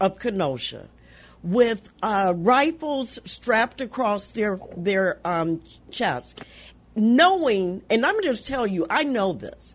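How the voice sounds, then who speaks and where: A woman speaks at a very slow pace, her voice somewhat breathy with very wide pitch swings. The background is quiet. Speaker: radio talk show host. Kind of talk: radio call-in show. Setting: studio.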